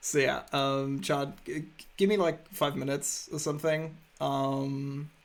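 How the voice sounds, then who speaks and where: A man's fairly high voice, fairly even in intonation, at a fairly slow pace. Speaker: video game streamer. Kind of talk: casual chat. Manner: loud.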